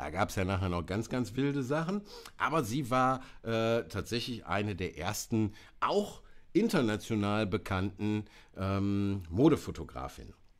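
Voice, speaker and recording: Over a quiet background, the speaker goes at a fairly slow pace with lively intonation. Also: man. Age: 50s. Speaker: presenter. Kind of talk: live stream talk on photo history. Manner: hesitant, many fillers. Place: home room.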